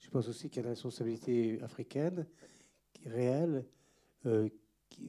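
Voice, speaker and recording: Rather slow speech in a dark, mellow tone. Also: man. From eastern DR Congo (Goma), then France. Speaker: retired history teacher. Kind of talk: panel talk after film screening.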